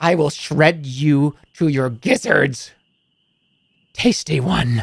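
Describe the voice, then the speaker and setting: A put-on character voice from a man at a very slow pace, fairly high in pitch. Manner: menacing.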